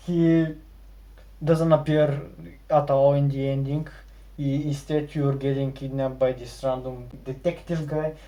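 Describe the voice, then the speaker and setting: Speaking at a fairly slow pace with long, frequent pauses, a man with a non-native accent has a fairly high pitch, a dark, mellow tone and monotone, flat intonation. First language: not English. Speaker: gaming video creator. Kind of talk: video essay narration.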